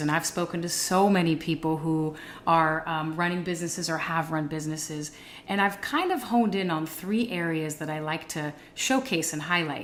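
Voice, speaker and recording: A woman's unremarkable speaking voice, fairly low in pitch, at a moderate pace. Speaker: podcast host. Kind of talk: podcast interview host.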